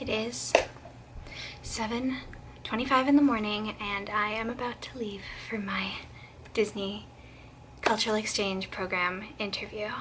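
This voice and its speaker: A quiet woman with a fairly high pitch and lively intonation speaks at a moderate pace amid noticeable background noise and audible room echo. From southern Quebec. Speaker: vlogger. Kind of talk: casual vlog storytelling. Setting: at home, early morning.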